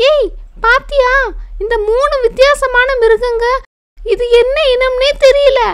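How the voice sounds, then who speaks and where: In a cartoonish character voice, a woman talks at an extremely high pitch and a very slow pace. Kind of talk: children's bedtime cartoon.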